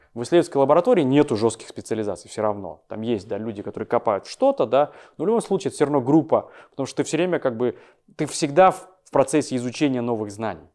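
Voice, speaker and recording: On a very clean recording with a silent background, a dark, mellow voice races along at a very fast pace with lively intonation. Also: man, medium pitch for a man. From Kazakhstan, Almaty. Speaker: visual effects company head. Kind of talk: podcast interview. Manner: halting, many filler words.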